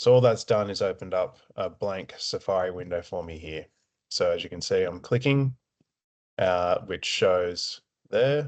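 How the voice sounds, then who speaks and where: A man with an Australian accent speaks at a fairly slow pace, his loudness swinging widely. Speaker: support officer at a veterans' families charity. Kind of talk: tutorial. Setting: screen-share recording. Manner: slow, deliberate pacing; hesitant, many filler words.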